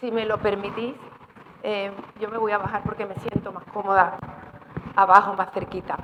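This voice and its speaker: Noticeable background noise sits behind a woman with a medium pitch. She speaks in a monotone, flat intonation with big swings in loudness and long, frequent pauses. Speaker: gynecologist giving a talk. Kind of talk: informal medical talk. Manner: fast.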